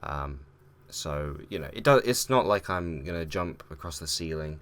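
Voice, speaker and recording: A man speaks quietly with a very deep, low pitch. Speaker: gaming YouTuber. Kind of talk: casual vlog talk. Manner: hesitant, many fillers.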